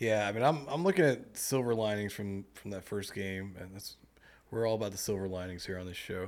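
An unremarkable speaking voice, this man's is fairly low, moving fairly quickly with ordinary pitch variation and big swings in loudness. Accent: American. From US South, Mississippi. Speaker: podcast host. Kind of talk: casual interview chat.

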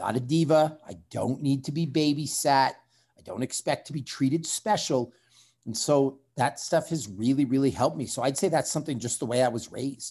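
The voice has a dark, mellow tone and its loudness rises and falls sharply. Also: man, fairly high pitch for a man, ordinary pitch variation, moderate pace, very clean recording, silent background. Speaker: strength coach and former fighter. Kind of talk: interview conversation.

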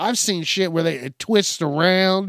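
In a high pitch with a slight Southern US accent, a man speaks with a dry, close sound and no echo. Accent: slight Southern twang at times. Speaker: solo podcast host. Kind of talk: comedic rant monologue. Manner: animated.

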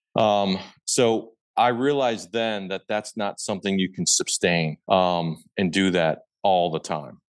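In a US Midwestern accent, a man with a fairly low pitch and ordinary pitch variation speaks at a fairly slow pace, recorded with a dry, close sound with no echo against a quiet background. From Nebraska, Omaha area. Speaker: hunter and land investor. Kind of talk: casual interview.

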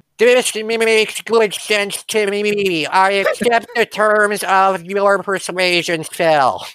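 A put-on character voice at a fairly high pitch, very slow pace and hardly any pauses.

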